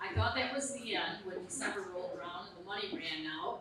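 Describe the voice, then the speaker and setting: Recorded with audible room echo and noticeable background noise, a woman speaks. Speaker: nonprofit executive. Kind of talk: presentation to meeting. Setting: meeting room with audience, microphone. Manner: loud.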